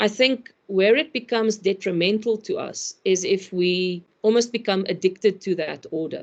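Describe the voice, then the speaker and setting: A woman with an ordinary speaking voice at a medium pitch, with ordinary pitch variation and a fairly slow pace. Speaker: complexity consultant, speaker. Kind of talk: online webinar presentation.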